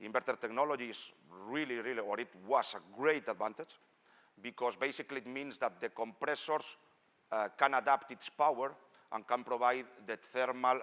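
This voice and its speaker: At a moderate pace, a man speaks with medium pitch, fairly even intonation and a bright, sharp tone. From Spain. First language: Spanish. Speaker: engineer; presenter. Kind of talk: technical presentation. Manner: halting. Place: hall.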